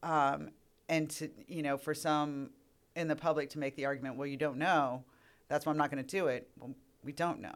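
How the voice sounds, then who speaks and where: A woman's very deep, low voice, monotone and flat, at a moderate pace in a very clean recording with a silent background. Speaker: earth science professor. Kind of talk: casual interview.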